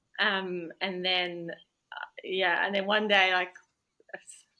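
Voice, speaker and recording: At medium pitch, a woman talks with a New Zealand accent. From Iraq, Baghdad; New Zealand from age nine. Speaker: lawyer. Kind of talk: interview.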